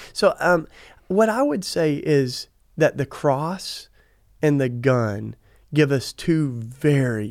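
On a very clean recording with a silent background, a man with a Southern US accent speaks very slowly at a fairly high pitch, with lively intonation and long, frequent pauses. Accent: Southern American. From US South. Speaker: activist and author. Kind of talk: interview conversation. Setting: studio, in person.

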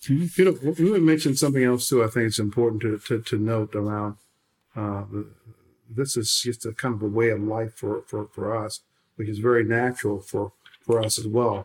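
Speaking at a moderate pace with an American accent, a man keeps a medium pitch and ordinary pitch variation. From US Midwest (St. Louis, Missouri). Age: 60s. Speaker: company founder. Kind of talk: interview. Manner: halting.

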